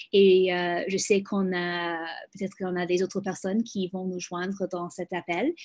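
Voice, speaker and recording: A woman with a non-native accent and a medium pitch, speaking fairly slowly against a quiet background. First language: English (speaking French). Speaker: global health program manager. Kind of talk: webinar presentation. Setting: video call. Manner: halting, many hesitations.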